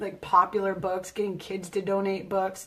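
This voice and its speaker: This is a woman with an American accent. Her pitch sits in the medium range. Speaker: teacher. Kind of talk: live broadcast talk.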